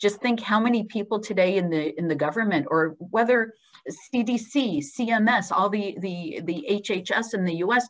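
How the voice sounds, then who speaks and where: Using an American accent, a woman speaks at a moderate pace and a medium pitch with ordinary variation. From Israel. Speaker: hospital clinical research executive. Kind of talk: webinar Q&A.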